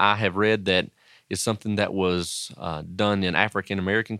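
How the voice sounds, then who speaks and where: Very clean and set against a silent background, this recording has a man with an Appalachian accent speaking at a fairly quick pace. His fairly low voice keeps a fairly even intonation. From Southwest Virginia, Wise County (Appalachia). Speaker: pastor and education professor. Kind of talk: interview.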